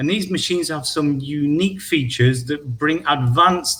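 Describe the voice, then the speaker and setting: Speaking in a northern English accent, a man with a fairly high pitch keeps a moderate pace and ordinary pitch variation. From northern England. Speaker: equipment product specialist. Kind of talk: product presentation. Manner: halting.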